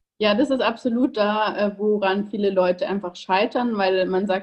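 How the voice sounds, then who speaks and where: At a moderate pace, a woman speaks in an unremarkable speaking voice with a medium pitch. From Bavaria, Ingolstadt. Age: 20s. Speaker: online nutrition coach. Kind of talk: interview.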